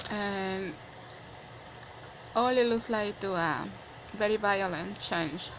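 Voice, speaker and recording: A woman with a non-native accent speaks at a very slow pace, leaving long, frequent pauses. Her medium-pitched voice shows ordinary pitch variation, and the room echo is audible. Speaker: vlogger. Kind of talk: personal opinion monologue. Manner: halting.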